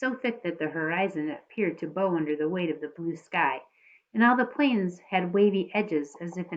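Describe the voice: A plain reading-aloud voice with lively intonation.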